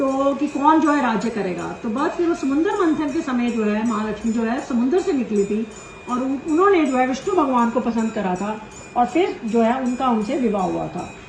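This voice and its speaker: Music plays behind a woman whose high-pitched voice has lively intonation. She speaks at a moderate pace, and the room echo is audible. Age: 60s. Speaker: YouTuber, dietician. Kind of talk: storytelling.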